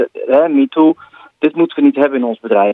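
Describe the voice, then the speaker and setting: Using a normal speaking voice, a man talks at a fairly quick pace with ordinary pitch variation. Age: 40s. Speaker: tech columnist, social media expert. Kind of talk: radio column discussion.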